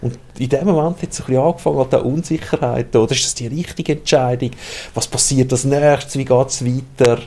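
With an unremarkable speaking voice, a man talks at a fairly quick pace, medium pitch and fairly even intonation. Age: 40s. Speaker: librarian. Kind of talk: casual chat.

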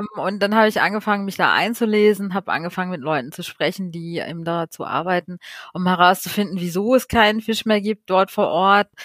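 Here is a woman with a plain, everyday voice. She talks at a moderate pace and a medium pitch. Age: 30s. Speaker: marine conservation activist. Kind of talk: podcast interview.

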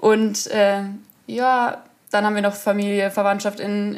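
A woman's medium-pitched voice at a very slow pace. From Munich, Bavaria. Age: 20s. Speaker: field hockey player and student teacher. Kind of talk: casual interview chat. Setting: video call.

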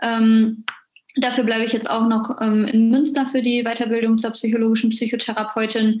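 Somewhat breathy and fairly high in pitch, a woman speaks in a monotone, flat intonation at a moderate pace. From western Germany, near Düsseldorf. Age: 20s. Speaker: psychology graduate student, wheelchair user. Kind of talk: interview.

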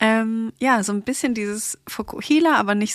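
A woman's ordinary speaking voice, fairly high in pitch with lively intonation and a moderate pace, in a dry, close sound with no echo and a very clean recording with a silent background. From Stuttgart, southwest Germany. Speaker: hair salon founder. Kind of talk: casual chat.

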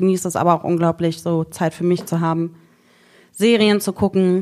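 A woman with a dark, mellow tone, fairly low pitch and fairly quick pace. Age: 30s. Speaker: social worker. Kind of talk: casual chat.

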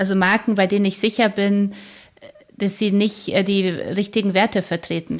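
A woman's medium-pitched voice at a moderate pace, flat and monotone, with very even loudness and long, frequent pauses. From Poland, then Germany from age seven. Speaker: publisher and podcaster. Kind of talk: interview.

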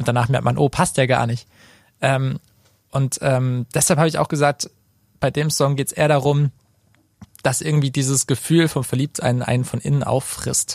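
A man talks at a moderate pace in a somewhat breathy voice, leaving long, frequent pauses. His loudness is very even and his intonation monotone and flat. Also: medium pitch for a man, dry, close sound with no echo. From Baden, Karlsruhe area. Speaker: singer-songwriter. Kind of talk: casual interview. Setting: studio.

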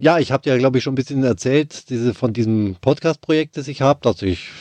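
Against a quiet background, a man with a slight Bavarian accent speaks in a dark, mellow tone with ordinary pitch variation, the sound dry and close with no echo. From Bavaria, Germany. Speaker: orchestra violist, podcast host. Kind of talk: scripted podcast intro and casual chat. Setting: Skype call.

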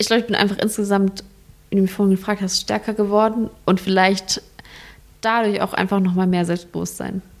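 Her loudness very even, a woman at a medium pitch speaks fairly quickly in a monotone, flat intonation. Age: 20s. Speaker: hospice volunteer. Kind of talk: interview. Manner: halting.

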